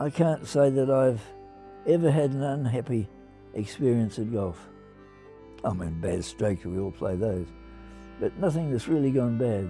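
With an Australian accent, a man speaks at a fairly slow pace and medium pitch. His intonation is lively, with music in the background. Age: 80s+. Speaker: retiring amateur golfer. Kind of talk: documentary interview answer. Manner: calm, reflective.

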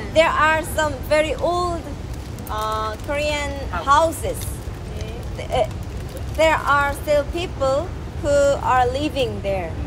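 A woman at a very slow pace with long, frequent pauses, and noticeable background noise behind her. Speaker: vlogger, teacher. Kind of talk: casual vlog chat. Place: street. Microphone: phone near.

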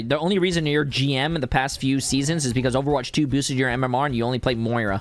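A man talks at a fairly quick pace in a fairly high voice with ordinary pitch variation. The sound is dry, with no echo. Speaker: gaming YouTuber and streamer. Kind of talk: casual gaming commentary. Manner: animated, joking. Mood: playful, laughing. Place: home room. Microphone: studio mic.

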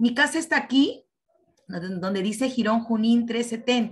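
At a fairly slow pace, a woman speaks in a plain, everyday voice, fairly high in pitch, with ordinary pitch variation. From Peru. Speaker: teacher participant. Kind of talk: presentation. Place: home room. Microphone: video call.

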